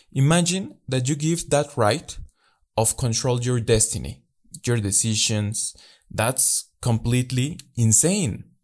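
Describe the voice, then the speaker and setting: A man's somewhat breathy voice with a Spanish accent, very slow pace and ordinary pitch variation, on a very clean recording with a silent background. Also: medium pitch for a man. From Mexico. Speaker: life coach podcaster. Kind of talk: motivational monologue.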